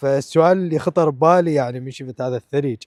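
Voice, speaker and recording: In an Iraqi accent, a man talks at a moderate pace with ordinary pitch variation, the sound dry and close with no echo. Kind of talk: casual vlog talk to camera. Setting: outdoors.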